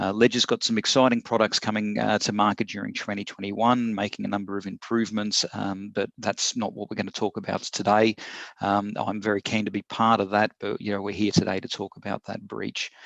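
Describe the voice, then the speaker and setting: With an Australian accent, a man speaks at a fairly low pitch in a monotone, flat intonation. He moves at a fairly quick pace with hardly any pauses against a quiet background. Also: dry, close sound with no echo. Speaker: corporate security executive. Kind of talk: prepared statement in online Q&A. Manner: hesitant with fillers.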